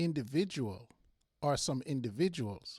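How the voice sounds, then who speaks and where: Lively intonation comes through in a Jamaican accent, recorded very cleanly with a silent background and a dry, close sound with no echo. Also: man. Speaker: football podcast host. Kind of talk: solo podcast monologue. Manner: halting, frequent repetitions.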